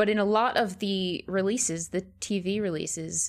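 A woman with a plain, everyday voice, medium pitch and an American accent, in a very clean recording with a silent background. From United States. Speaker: horror film podcast co-host. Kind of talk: casual podcast discussion.

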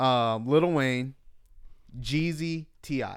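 The recording is very clean, with a silent background. A man talks at a very slow pace with ordinary pitch variation. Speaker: podcast host. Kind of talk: casual chat.

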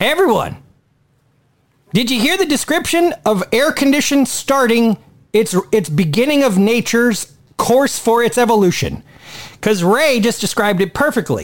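An animated man with an extremely high pitch speaks at a moderate pace, swinging his pitch very widely and leaving long, frequent pauses. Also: very even loudness. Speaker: podcast host. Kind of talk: casual chat.

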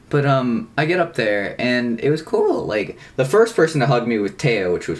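An American accent and an unremarkable speaking voice mark this man, who speaks at medium pitch with lively intonation and hardly any pauses. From US South, North Carolina. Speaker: podcast co-host. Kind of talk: casual chat.

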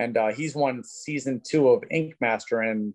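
A man uses a normal speaking voice at medium pitch and a moderate pace. The sound is dry and close, with no echo. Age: 40s. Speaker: tattoo convention organizer. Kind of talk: casual chat.

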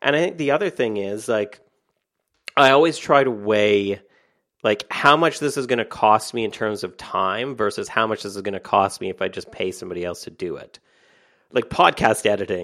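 A man with a medium pitch and a bright, sharp tone speaks at a moderate pace with lively intonation and an American accent. The recording is very clean, with a silent background. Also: big swings in loudness. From Canada. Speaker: author and online entrepreneur. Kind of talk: podcast interview.

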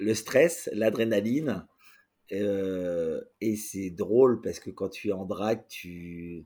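A man at a fairly low pitch with a dark, mellow tone, very slow pace, ordinary pitch variation, big swings in loudness and a very clean recording with a silent background. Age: 40s. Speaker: drag queen performer. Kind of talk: casual interview.

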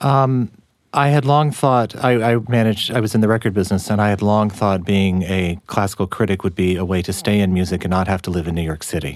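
A normal speaking voice from a man, fairly low in pitch, fairly quick, with ordinary pitch variation. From Texas. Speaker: writer and music critic. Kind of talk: interview.

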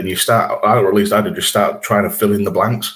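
A man with a Yorkshire accent speaks at a moderate pace. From Yorkshire, England. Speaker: podcast host. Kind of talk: casual chat.

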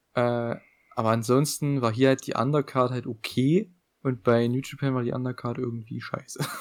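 The man's intonation stays monotone and flat. His voice sits at a medium pitch. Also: moderate pace. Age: young. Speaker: wrestling podcast co-host. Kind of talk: casual chat.

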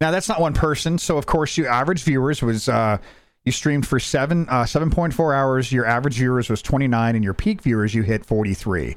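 A plain, everyday voice from a man, medium in pitch, with lively intonation and a fairly quick pace, over a very clean recording with a silent background. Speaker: podcast host and streamer. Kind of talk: casual chat.

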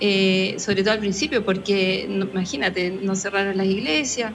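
Medium-pitched woman at a moderate pace with ordinary pitch variation, audible room echo and noticeable background noise. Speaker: parish communicator. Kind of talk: live radio interview.

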